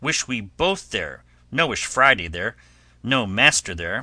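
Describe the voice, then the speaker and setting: Putting on a raspy character voice, a man swings his medium pitch very widely at a fairly slow pace against a quiet background. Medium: read story. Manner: broken English, earnest.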